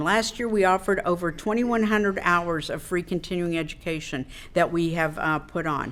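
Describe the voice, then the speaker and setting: A fairly quick woman's voice with a Midwestern American accent and ordinary pitch variation. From Wichita, Kansas. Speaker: state insurance commissioner. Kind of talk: public speech at a club luncheon.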